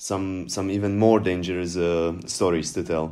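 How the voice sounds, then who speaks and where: With music in the background, a man with a Slovak accent talks at a fairly slow pace and fairly even intonation. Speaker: podcast co-host. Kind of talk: casual chat.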